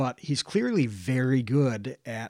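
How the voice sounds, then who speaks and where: A man with an American accent, a plain, everyday voice, medium pitch and ordinary pitch variation, on a very clean recording with a silent background and a dry, close sound with no echo. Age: 30s. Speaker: online video creator. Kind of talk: casual chat.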